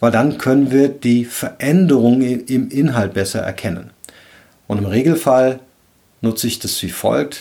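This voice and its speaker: This man talks at a fairly slow pace with a medium-pitched voice. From Rhineland, Cologne. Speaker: leadership coach and podcast host. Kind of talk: solo podcast monologue, advice talk.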